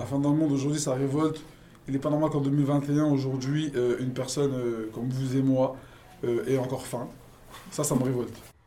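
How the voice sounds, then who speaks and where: In a dark, mellow tone, a man speaks at a medium pitch and moderate pace, monotone and flat, with long, frequent pauses. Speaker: school staff member. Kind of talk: street interview answers, casual and spontaneous. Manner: hesitant, filler-heavy, conversational.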